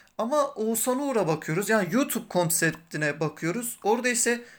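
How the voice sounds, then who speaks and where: Recorded very cleanly against a silent background, a man talks at a moderate pace with a high pitch and lively intonation. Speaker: podcast host, journalism student. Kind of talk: interview.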